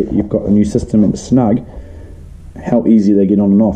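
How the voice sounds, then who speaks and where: A man speaks with a New Zealand accent. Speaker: leather case and sheath maker. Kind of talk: casual product review to camera.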